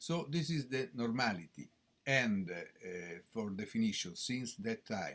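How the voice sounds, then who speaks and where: A man with an Italian accent, a fairly slow pace and very wide pitch swings. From Italy, Rome. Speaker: professor of gastroenterology. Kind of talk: conference lecture. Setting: conference stage with audience. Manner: halting, many hesitations.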